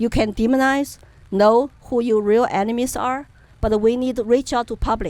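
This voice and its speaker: Speaking in a Chinese accent, a woman keeps a fairly high pitch, a moderate pace and fairly even intonation. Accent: Chinese accent, non-native English. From China, Chengdu, Sichuan. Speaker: political activist. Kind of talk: interview.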